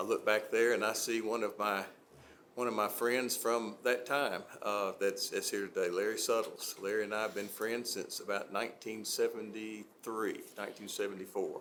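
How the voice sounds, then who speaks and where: Speaking in an Alabama accent at a moderate pace, a man's voice carries audible room echo. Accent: US Southern (Alabama). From Gadsden, Alabama. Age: 60s. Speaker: city council member. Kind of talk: public meeting remarks. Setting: city council meeting. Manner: halting, many fillers.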